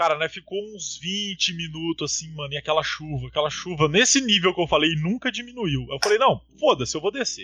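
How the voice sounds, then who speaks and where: Fairly quick and high-pitched, a man speaks with lively intonation. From Paraná interior, Brazil. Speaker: podcast host. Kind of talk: casual chat. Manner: animated.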